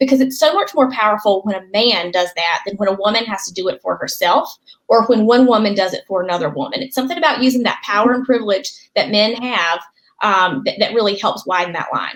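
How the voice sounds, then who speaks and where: This speaker goes at a very fast pace with a Southern US accent. The intonation is lively. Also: woman, fairly high pitch for a woman. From North Carolina. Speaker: political strategist, author. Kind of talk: interview answer.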